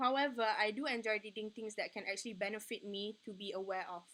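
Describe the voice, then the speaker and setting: A woman talks at a fairly quick pace in a bright, sharp tone. Her fairly high pitch stays fairly even in intonation. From Malaysia, Sarawak. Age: 20s. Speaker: student. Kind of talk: mock job interview. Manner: halting, stuttering.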